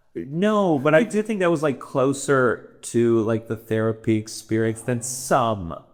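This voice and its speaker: Loud speech at a fairly slow pace carries very wide pitch swings. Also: man, medium pitch for a man. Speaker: comedian. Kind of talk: casual chat. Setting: in Amsterdam, travelling.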